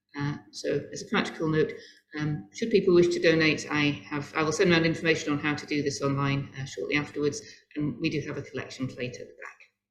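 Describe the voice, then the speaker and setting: Speech comes very fast over background music, with big swings in loudness and ordinary pitch variation. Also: woman, very deep, low pitch for a woman. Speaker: service leader. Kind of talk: memorial service address and prayer.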